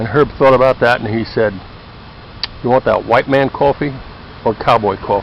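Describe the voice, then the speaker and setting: The speech moves at a moderate pace with long, frequent pauses and fairly even intonation. Noticeable background noise sits underneath. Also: man, medium pitch for a man. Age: 60s. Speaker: former anthropologist. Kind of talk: casual video talk. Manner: conversational.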